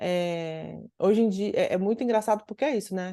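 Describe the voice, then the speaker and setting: Against a quiet background, a woman with a fairly high pitch and a dark, mellow tone speaks at a moderate pace with ordinary pitch variation. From Ceará, northeastern Brazil. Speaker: psychoanalyst and researcher. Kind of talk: interview conversation. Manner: many fillers and self-restarts.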